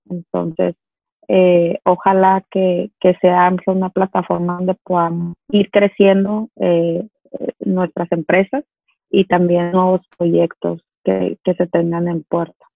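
A woman speaks at a very slow pace in a fairly low pitch with monotone, flat intonation. Music plays in the background. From Mexico, Culiacán (Sinaloa). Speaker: business owner. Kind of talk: interview.

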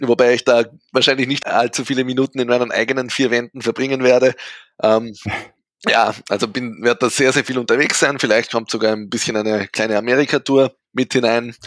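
At a fairly quick pace, a man with a medium pitch speaks in a dry, close sound with no echo. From Austria, rural area. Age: 20s. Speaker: disc golf player. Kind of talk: interview. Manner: animated.

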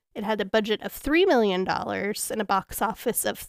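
Recorded very cleanly against a silent background, a woman with a fairly high pitch speaks at a moderate pace in a dry, close sound with no echo. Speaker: podcast host. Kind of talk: casual chat, comedic movie review. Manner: giggly, laughs often.

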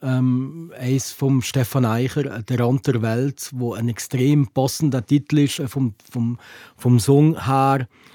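A man at a very slow pace, dark and mellow in tone, in a dry, close sound with no echo. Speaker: podcast host. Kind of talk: casual chat.

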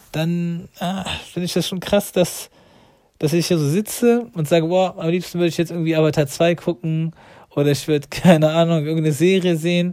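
With a dark, mellow tone, a man with a high voice talks at a fairly quick pace with ordinary pitch variation. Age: 40s. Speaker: religious podcaster. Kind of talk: religious monologue. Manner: halting, many fillers.

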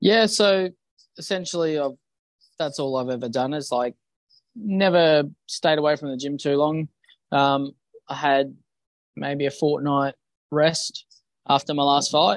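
A man with an Australian accent speaks at a fairly high pitch and a fairly slow pace, with ordinary pitch variation. His speech has long, frequent pauses, and the sound is dry and close with no echo. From Western Australia, Bunbury. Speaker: professional boxer. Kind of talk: interview.

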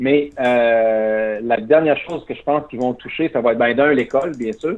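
With an ordinary speaking voice, a man talks at a moderate pace and medium pitch, with ordinary pitch variation. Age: 40s. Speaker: former Olympic athlete. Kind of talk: interview.

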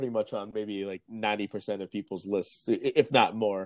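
In a very clean recording with a silent background, a man speaks in a normal speaking voice at medium pitch and a fairly quick pace, the sound dry and close with no echo. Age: 30s. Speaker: podcast host and journalist. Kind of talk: casual chat.

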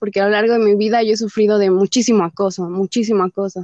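A woman with a fairly high pitch and a dark, mellow tone talks at a very fast pace with fairly even intonation, recorded dry and close with no echo. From Mexico, Nezahualcóyotl (State of Mexico). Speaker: feminist activist. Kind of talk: interview conversation.

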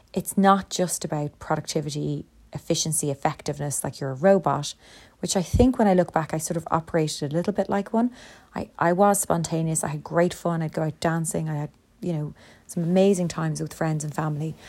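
In a very clean recording with a silent background, a woman speaks in an ordinary speaking voice, fairly low-pitched with ordinary pitch variation, at a fairly quick pace. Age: 40s. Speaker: podcast host, lecturer and business owner. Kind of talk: solo monologue podcast, self-help talk. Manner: conversational with many fillers.

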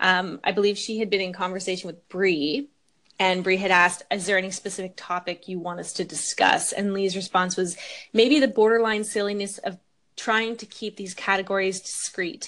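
In a quiet background, a woman talks at a moderate pace in an unremarkable speaking voice, her intonation fairly even but her loudness swinging widely. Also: medium pitch for a woman. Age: 20s. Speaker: podcast host. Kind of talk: casual chat.

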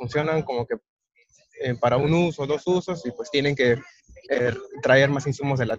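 A man speaks at a fairly slow pace with a fairly high pitch and ordinary pitch variation, the sound dry and close with no echo. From Peru. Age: 20s. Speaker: agronomist engineer. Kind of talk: interview. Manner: halting, many fillers.

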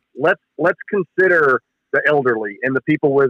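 A man's ordinary speaking voice with an American accent, fairly high in pitch, with ordinary pitch variation. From Texas, Dallas area. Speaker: sports journalist. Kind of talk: casual chat. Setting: phone call.

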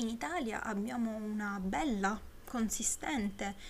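Over noticeable background noise, a woman speaks very slowly at a medium pitch with ordinary pitch variation. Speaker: podcaster. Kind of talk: solo podcast film review. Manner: slightly slurred articulation; hesitant, many fillers.

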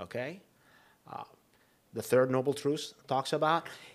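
A man speaks with a fairly high pitch. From Egypt, moved to US at fifteen. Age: 50s. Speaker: chiropractor. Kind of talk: casual chat.

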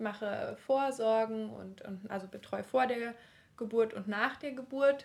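At a moderate pace, a woman with a fairly high pitch and ordinary pitch variation talks in an ordinary speaking voice. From eastern Germany (Leipzig). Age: 30s. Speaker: midwife. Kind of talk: casual interview.

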